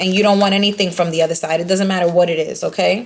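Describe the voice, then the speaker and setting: Against noticeable background noise, a woman talks at a medium pitch. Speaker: tarot card reader. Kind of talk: tarot reading to viewers. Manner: stuttering; animated.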